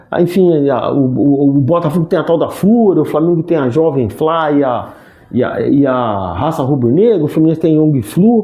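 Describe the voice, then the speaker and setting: Audible room echo and noticeable background noise surround a man speaking at a moderate pace. His pitch sits fairly high, and his intonation is lively. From Rio de Janeiro, Brazil. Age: 60s. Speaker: sports commentator and actor. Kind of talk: interview conversation. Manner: halting, frequent restarts.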